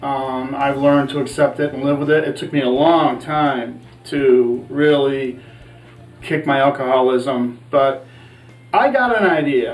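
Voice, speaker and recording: Music plays in the background as a man speaks at a fairly slow pace with fairly even intonation. His pitch is fairly high, and room echo is audible. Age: 60s. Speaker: cooking show host, chef in recovery. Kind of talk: casual cooking show talk.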